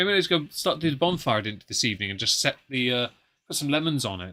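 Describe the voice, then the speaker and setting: On a very clean recording with a silent background, a man with an English accent speaks in a bright, sharp tone at a fairly high pitch, with very wide pitch swings. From England. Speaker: whisky podcast host. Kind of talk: casual chat.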